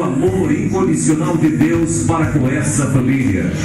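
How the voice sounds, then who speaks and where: A man speaks at a fairly slow pace with audible room echo and loud music playing in the background. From Brazil. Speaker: master of ceremonies. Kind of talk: event ceremony announcement. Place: hall.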